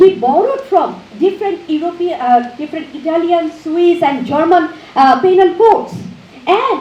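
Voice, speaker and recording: Over noticeable background noise and audible room echo, a woman speaks at a moderate pace with an extremely high pitch and very wide pitch swings. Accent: Bengali. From Bangladesh. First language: Bengali. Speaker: professor. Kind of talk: lecture. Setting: auditorium with audience. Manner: halting.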